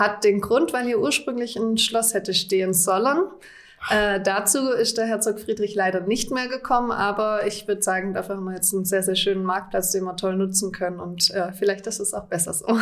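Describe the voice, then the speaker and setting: With a slight Swabian accent, a woman speaks at a fairly quick pace, using medium pitch and fairly even intonation. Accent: slight Swabian, hardly noticeable. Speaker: deputy tourism director. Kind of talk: interview. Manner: hesitant with fillers.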